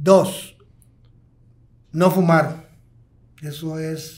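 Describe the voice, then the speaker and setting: Against a quiet background, a man with a fairly high pitch talks at a very slow pace with long, frequent pauses. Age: 60s. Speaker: pulmonologist, hospital medical director; guest. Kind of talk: podcast interview. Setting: podcast recording. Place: studio. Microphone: studio mic.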